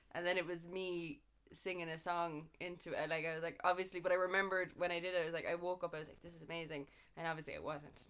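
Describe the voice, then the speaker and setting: A woman with a Cork accent talks at a very fast pace in a fairly low pitch. Her intonation is monotone and flat, yet her loudness swings widely. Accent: Cork Irish. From Ireland, Cork. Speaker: musician and music teacher. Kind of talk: casual chat.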